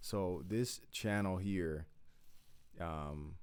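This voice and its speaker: Audible room echo surrounds a man's very deep, low voice. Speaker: YouTube commentator. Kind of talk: casual reaction commentary. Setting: at home late at night.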